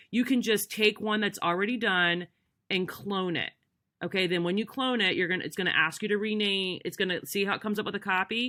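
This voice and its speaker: A woman with a medium pitch speaks at a fairly quick pace with fairly even intonation. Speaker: direct sales consultant giving tech tips. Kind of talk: screen-recorded tutorial. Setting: screen recording. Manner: fast; casual, many fillers.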